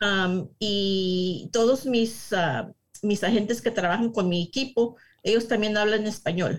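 This woman has a medium pitch and a somewhat breathy voice. She talks at a very slow pace with ordinary pitch variation and very even loudness. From US, San Diego, California. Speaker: real estate agent. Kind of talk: interview.

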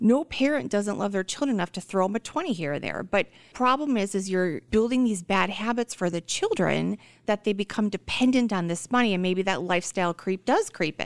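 A woman with a normal speaking voice of medium pitch talks at a fairly quick pace with lively intonation, in a very clean, dry and close recording with a silent background and no echo. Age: 30s. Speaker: financial planner. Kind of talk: radio interview.

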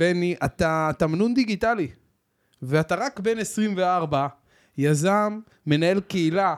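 Animated in tone, a man speaks in a high pitch with ordinary pitch variation, recorded very cleanly against a silent background with a dry, close sound and no echo. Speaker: podcast host, financial advisor. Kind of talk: casual interview.

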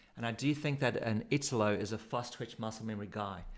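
A man with a South African accent speaks at medium pitch with fairly even intonation. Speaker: surf coach. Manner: casual, laughs often.

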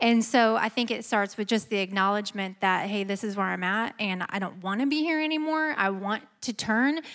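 A woman with an American accent and an ordinary speaking voice, fairly high in pitch, with lively intonation at a fairly quick pace. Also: hardly any pauses. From US Midwest. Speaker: churchgoer, married panelist. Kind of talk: panel discussion.

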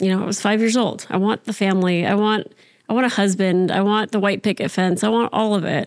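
A woman with an American accent speaks at a moderate pace in a plain, everyday voice of medium pitch and fairly even intonation. The recording is very clean, with a silent background. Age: 30s. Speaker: podcast guest, show co-creator. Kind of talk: casual chat.

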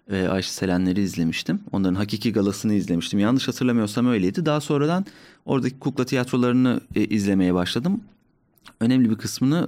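A man talks at a very fast pace with lively intonation and a dark, mellow tone. The recording is very clean, the background silent. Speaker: musician and stand-up comedian. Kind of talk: casual chat. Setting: studio.

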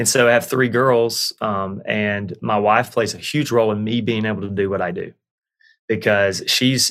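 With a Southern US accent, a man speaks at a fairly low pitch and fairly even intonation. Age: 30s. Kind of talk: casual chat.

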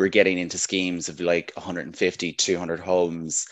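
With a Northern Irish accent, a man speaks in a very deep, low pitch at a fairly quick pace. His intonation is monotone and flat against a quiet background. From Northern Ireland. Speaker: housing development manager. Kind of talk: interview.

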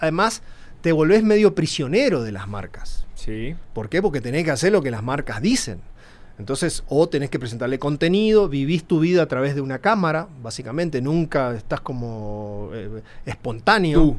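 At a moderate pace, a man with a fairly high voice makes very wide pitch swings. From northern Argentina, Formosa. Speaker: motorcycle traveler and entrepreneur. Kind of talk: casual chat.

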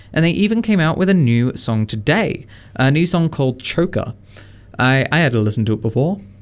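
A man with an Australian accent, lively intonation and a moderate pace. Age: 20s. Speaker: radio host. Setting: radio studio. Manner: relaxed, jokey, conversational, with many fillers and laughs.

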